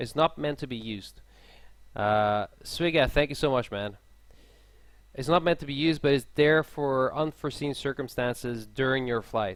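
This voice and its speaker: Ordinary pitch variation with a Swedish accent, on a very clean recording with a silent background. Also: man. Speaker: airline pilot streaming a live tutorial. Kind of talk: live-stream tutorial. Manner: casual, halting.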